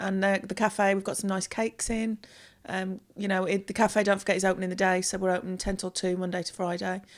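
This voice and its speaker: Speaking fairly quickly, a woman has a West Midlands accent. The recording is very clean, with a silent background. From West Midlands, near Wolverhampton. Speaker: theatre bar and catering staff. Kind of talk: casual chat.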